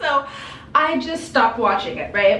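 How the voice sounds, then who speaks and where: A high-pitched woman amid audible room echo and noticeable background noise. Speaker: lifestyle vlogger. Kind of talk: casual chat. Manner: animated.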